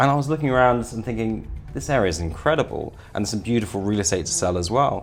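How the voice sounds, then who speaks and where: A man with a British accent, fairly quick in pace, with lively intonation. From UK, raised abroad (Italy, Kenya, Zimbabwe, Dubai). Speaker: real estate sales director. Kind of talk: interview.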